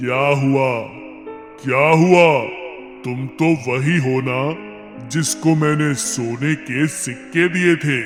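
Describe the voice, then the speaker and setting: A man does a cartoonish character voice at a fairly high pitch and a very slow pace. Clear echo surrounds him, and music plays clearly in the background. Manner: solemn, repeats phrases.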